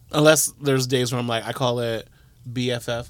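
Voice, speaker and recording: Speaking at a medium pitch and moderate pace, a man keeps a monotone, flat intonation. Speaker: podcast guest. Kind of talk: casual chat. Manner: loud.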